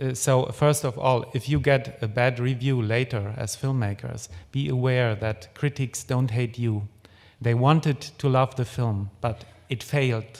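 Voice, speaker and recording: The pace is fairly slow. A man talks with fairly even intonation. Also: medium pitch for a man. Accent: German. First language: German. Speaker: film critic. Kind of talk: lecture. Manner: hesitant, many fillers.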